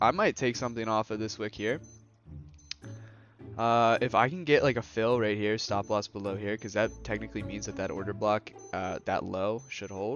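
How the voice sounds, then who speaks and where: Music plays in the background as a man talks. His voice is fairly low, with fairly even intonation. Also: moderate pace. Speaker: day trader. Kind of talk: live trading commentary. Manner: casual.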